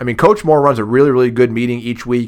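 With an American accent, a man with a normal speaking voice and medium pitch talks in fairly even intonation on a very clean recording with a silent background. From Massillon, Ohio. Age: 40s. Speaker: former booster club president. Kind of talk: casual interview chat.

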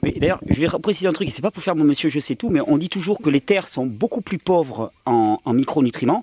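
A man's fairly high voice moves at a fairly quick pace with very wide pitch swings, the sound dry and close with no echo. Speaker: health video host. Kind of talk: casual chat. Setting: home with friends around table.

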